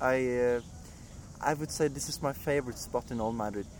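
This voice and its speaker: A man speaks with a Norwegian accent and a fairly even intonation. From Norway. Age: 20s. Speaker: animator. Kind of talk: interview. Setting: outdoors.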